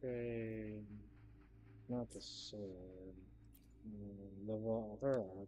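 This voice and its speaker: A man's fairly low pitch, dark and mellow in tone, at a very slow pace with fairly even intonation, long, frequent pauses and audible room echo. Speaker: gaming streamer. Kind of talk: live gameplay stream. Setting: home, neighbors nearby. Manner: soft-spoken, not projecting; halting, hesitant.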